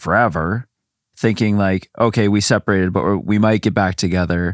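Fairly low and at a moderate pace, a man's voice is a plain, everyday voice, recorded dry and close with no echo on a very clean recording with a silent background. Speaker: guest co-host. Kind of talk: casual chat.

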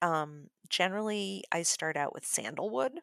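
A woman speaks at a very slow pace with an American accent. The sound is dry and close with no echo, on a very clean recording with a silent background. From Chicago. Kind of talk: tutorial; casual chat.

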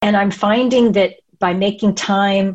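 Fairly slow, somewhat breathy delivery with ordinary pitch variation. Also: woman. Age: 50s. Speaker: coaching client. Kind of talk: interview.

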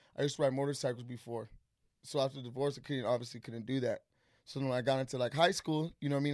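On a very clean recording with a silent background, a man talks at a very fast pace. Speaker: podcast guest, entrepreneur and mentor. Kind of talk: casual chat. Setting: studio. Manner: loud; animated.

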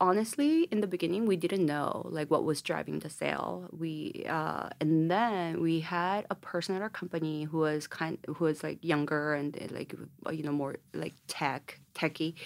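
A woman with a Korean accent speaks at a moderate pace in a fairly low pitch, with fairly even intonation and hardly any pauses. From South Korea, Daegu. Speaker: cosmetics entrepreneur. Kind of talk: interview.

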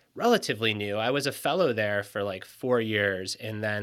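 On a very clean recording with a silent background, a man with a plain, everyday voice and an American accent speaks at a fairly quick pace in a fairly low pitch. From US Midwest, Michigan. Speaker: author and performance coach. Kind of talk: casual interview.

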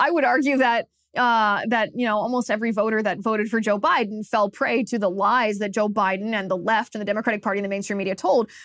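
Very fast, fairly even speech in an American accent with hardly any pauses. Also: woman, fairly high pitch for a woman. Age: 30s. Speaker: political commentator host. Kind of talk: angry political rant. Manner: indignant, emphatic, fast-paced; scornful, accusatory.

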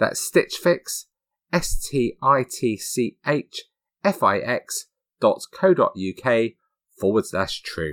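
A man with a British accent at a very slow pace, dry and close with no echo, on a very clean recording with a silent background. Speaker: true crime podcast host. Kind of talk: scripted narration.

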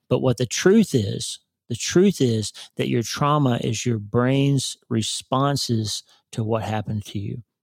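Using a normal speaking voice, a man with an American accent talks at a fairly slow pace and medium pitch, with ordinary pitch variation. The sound is dry and close, with no echo. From Oklahoma. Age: 50s. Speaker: neurosurgeon and author. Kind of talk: casual interview.

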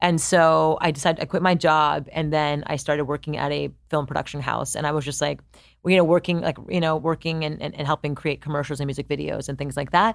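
A woman talks at a very fast pace in a very deep, low pitch with vocal fry and fairly even intonation. The recording is very clean with a silent background. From Canada, Montreal. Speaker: entrepreneur and founder. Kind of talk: interview.

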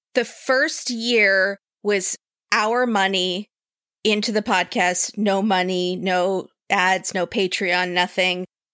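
In a very clean recording with a silent background and a dry, close, echo-free sound, a woman speaks very slowly at medium pitch with a bright, sharp tone, fairly even intonation and very even loudness. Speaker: podcast host. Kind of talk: casual chat.

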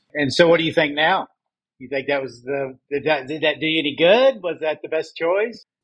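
A man with an ordinary speaking voice talks at a moderate pace, his pitch fairly high with ordinary variation. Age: 60s. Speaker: podcast host. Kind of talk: interview conversation.

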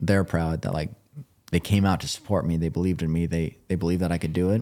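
A man with an American accent talks in a very deep, low pitch with a dark, mellow tone and monotone, flat intonation. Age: 20s. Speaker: endurance athlete, record holder. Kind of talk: casual chat.

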